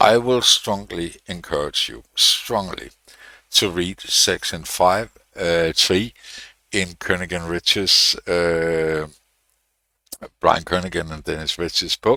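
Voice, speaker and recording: Very slow, with long, frequent pauses, a man speaks with a non-native accent. His voice is very deep and low in pitch with a bright, sharp tone. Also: fairly even intonation. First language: not English. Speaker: programming tutorial youtuber. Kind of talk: tutorial. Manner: hesitant, many fillers.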